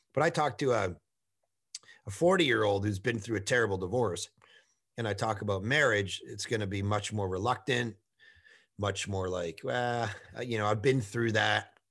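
A man's fairly low voice with ordinary pitch variation, a moderate pace, long and frequent pauses, and a very clean recording over a silent background. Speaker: pastor. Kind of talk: casual interview. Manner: loud and intense; animated.

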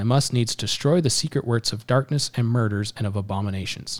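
Recorded very cleanly over a silent background, a man with an unremarkable speaking voice and medium pitch talks at a fairly quick pace with ordinary pitch variation. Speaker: podcast host. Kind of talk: casual chat.

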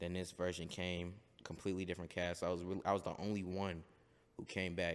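A man talks at a very fast pace in a very deep, low voice. His intonation is monotone and flat, and the recording is very clean with a silent background. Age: young. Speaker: actor and musician. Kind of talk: casual chat.

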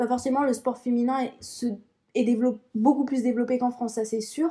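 A dark, mellow tone carries fairly even intonation. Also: woman. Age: 20s. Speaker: track athlete and student. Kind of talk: casual chat.

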